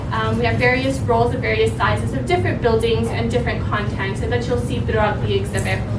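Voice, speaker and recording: A woman with a very deep, low pitch talks very fast in a monotone, flat delivery with hardly any pauses, while music plays in the background and room echo is audible. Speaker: museum exhibit manager. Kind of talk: event introduction. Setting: museum event with audience. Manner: soft-spoken.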